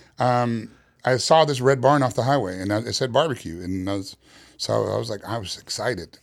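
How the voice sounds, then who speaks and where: A man with an American accent, a normal speaking voice at medium pitch and a fairly quick pace, ordinary pitch variation, on a very clean recording with a silent background. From New York City, Queens. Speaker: barbecue pitmaster. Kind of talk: casual interview.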